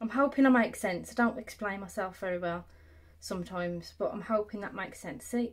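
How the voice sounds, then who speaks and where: A woman speaks with an English Midlands accent at a fairly quick pace. Her voice is somewhat breathy, with ordinary pitch variation. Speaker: sewing content creator; sewing tutor. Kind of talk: tutorial. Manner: casual, conversational.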